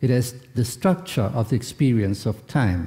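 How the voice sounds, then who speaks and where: A man with a non-native accent, a dark, mellow tone, a somewhat breathy quality, lively intonation and a fairly slow pace. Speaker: philosopher, keynote speaker. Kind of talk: lecture. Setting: conference hall with audience. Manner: formal; halting, hesitant.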